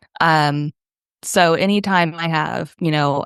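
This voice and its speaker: A woman's voice with vocal fry, a dry, close sound with no echo, and a quiet background. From French immigrant family, grew up in the US. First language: French. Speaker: dog trainer. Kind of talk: podcast interview.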